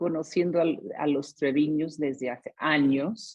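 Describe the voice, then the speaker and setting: This woman's pitch is very deep and low, with a dark, mellow tone. She speaks at a very slow pace. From US, San Diego, California. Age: 60s. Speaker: testimony speaker. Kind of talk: testimony. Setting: video call. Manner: halting.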